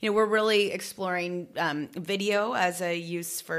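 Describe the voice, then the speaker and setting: A woman with an ordinary speaking voice speaks at a moderate pace, her fairly low pitch showing ordinary variation. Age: 30s. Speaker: business founder and actress. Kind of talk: casual interview chat.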